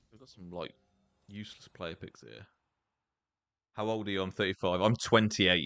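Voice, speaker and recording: A man with a British accent speaks in a very deep, low voice, his loudness swinging widely, with long, frequent pauses and a dry, close sound free of echo. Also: ordinary pitch variation, moderate pace. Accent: noticeable British. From England. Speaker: gaming streamer. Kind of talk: live gameplay stream chat. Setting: live stream. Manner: casual, conversational.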